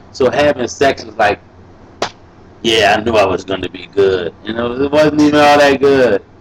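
A man with an American accent, an animated tone, and medium pitch, at a moderate pace with ordinary pitch variation and big swings in loudness, over noticeable background noise. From US South, New Orleans. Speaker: rapper. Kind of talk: casual chat.

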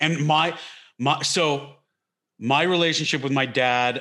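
Bright and sharp in tone, this voice has an American accent and ordinary pitch variation. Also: man. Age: 30s. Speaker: comedian. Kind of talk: casual chat. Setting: video call.

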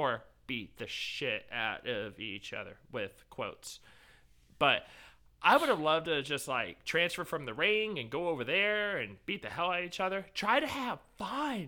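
Slow-paced and bright, a man's sharp-toned voice carries vocal fry. His pitch swings very widely. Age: 30s. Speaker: amateur wrestler. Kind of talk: casual chat.

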